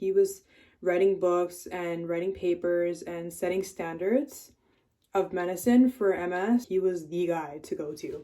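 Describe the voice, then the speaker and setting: With a Canadian accent, a woman speaks at a medium pitch in a dark, mellow tone. Her pitch shows ordinary variation. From Canada, Toronto. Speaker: vlogger sharing illness story. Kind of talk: casual vlog testimony. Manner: occasionally slurred words; casual, conversational.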